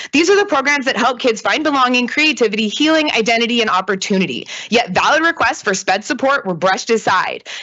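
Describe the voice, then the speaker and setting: A high-pitched woman at a very fast pace, with very wide pitch swings, hardly any pauses and very even loudness. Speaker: public commenter, educator. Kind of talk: public comment at board meeting. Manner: impassioned.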